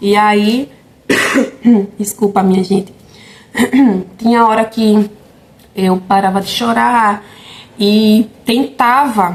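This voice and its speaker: Her pitch is fairly high and her intonation fairly even. This woman talks at a very slow pace. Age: 20s. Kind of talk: casual talk to camera.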